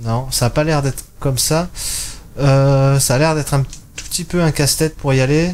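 This is an ordinary speaking voice at a moderate pace. Its intonation is fairly even. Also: man, fairly high pitch for a man. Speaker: gaming YouTuber. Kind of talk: let's play commentary. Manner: casual, thinking aloud.

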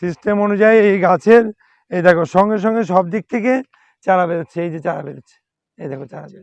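A man speaks with a high pitch and ordinary pitch variation. His loudness swings widely, and the sound is dry and close with no echo. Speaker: plant nursery owner. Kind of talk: sales pitch. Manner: animated.

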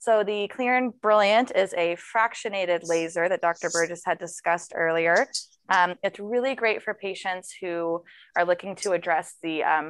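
A woman talks at a moderate pace and medium pitch, with ordinary pitch variation. It is a plain, everyday voice over a quiet background. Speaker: nurse and esthetician. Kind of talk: live demonstration.

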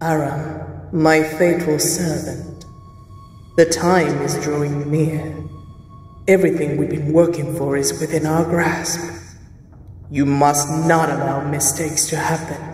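Delivered in a put-on character voice at middle pitch, the menacing speech moves at a fairly slow pace with long, frequent pauses and a clear echo. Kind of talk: villain melodrama. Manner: imperious, menacing.

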